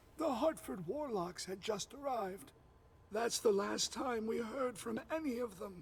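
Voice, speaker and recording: In a put-on character voice with a high pitch, a man speaks at a moderate pace. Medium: video game. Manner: blunt, profane.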